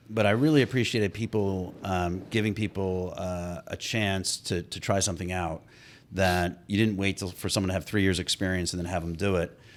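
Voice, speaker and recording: This man has a slight New Jersey accent. His pitch sits fairly low. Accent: slight New Jersey accent, Irish accent gone. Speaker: mayor and sociology professor. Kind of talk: casual interview chat. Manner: hesitant, many fillers.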